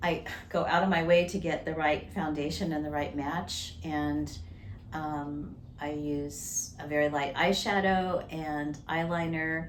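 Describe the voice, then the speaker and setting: A woman speaks with a very deep, low pitch and fairly even intonation. Room echo is audible, along with noticeable background noise. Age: 60s. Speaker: retired minister. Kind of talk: interview.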